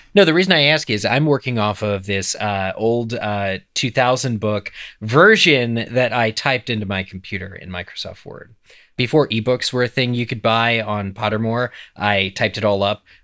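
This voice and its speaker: The recording is very clean, the background silent. A man with an American accent speaks at a moderate pace in a bright, sharp tone, medium in pitch with ordinary variation. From eastern Pennsylvania. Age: 30s. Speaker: podcast co-host. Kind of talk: casual chat.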